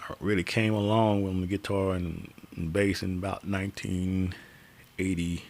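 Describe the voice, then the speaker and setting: A man with a very deep, low pitch speaks in a flat monotone. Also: moderate pace. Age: 60s. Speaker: guitarist live streamer. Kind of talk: live stream chat. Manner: casual, halting with fillers.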